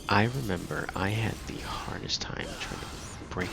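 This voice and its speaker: A soft-spoken man talks at a moderate pace with fairly even intonation. His pitch is very deep and low. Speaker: gaming channel host. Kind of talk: casual gameplay commentary.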